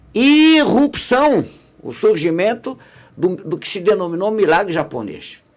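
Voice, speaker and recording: Speaking at a fairly slow pace, a man uses a high pitch with very wide swings. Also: big swings in loudness. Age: 60s. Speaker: radio broadcaster and academic. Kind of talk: podcast interview conversation. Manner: halting, many restarts.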